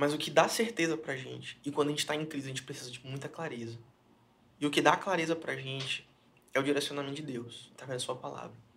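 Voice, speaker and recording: A man's very fast speech, fairly high-pitched, with ordinary pitch variation and big swings in loudness. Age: 20s. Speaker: pastor. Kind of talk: casual chat. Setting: studio.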